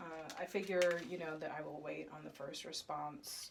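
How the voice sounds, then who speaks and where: Vocal fry with an American accent. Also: woman. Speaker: fertility vlogger. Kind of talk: casual vlog.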